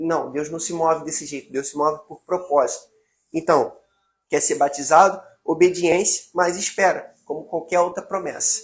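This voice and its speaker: A man talks at a moderate pace in a high pitch, his intonation fairly even. His loudness swings widely. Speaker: evangelical preacher. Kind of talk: livestream teaching.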